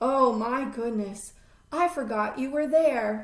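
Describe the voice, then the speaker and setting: A woman puts on a character voice, high-pitched and warm in tone, at a fairly slow pace. Audible echo surrounds her speech. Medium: read story. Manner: warm, polite.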